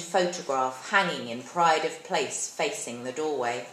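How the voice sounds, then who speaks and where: A woman at a moderate pace with lively intonation, noticeable background noise behind her. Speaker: actress. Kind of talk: short story reading. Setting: live event.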